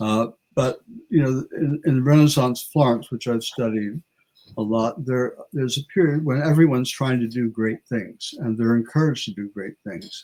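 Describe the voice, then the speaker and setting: Speaking at a moderate pace, a man has a dark, mellow tone, medium pitch and ordinary pitch variation. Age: 70s. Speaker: history professor. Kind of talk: interview conversation. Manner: halting, frequent repetitions.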